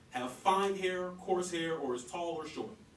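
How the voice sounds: A man with a fairly bright tone speaks at a fairly slow pace amid audible room echo.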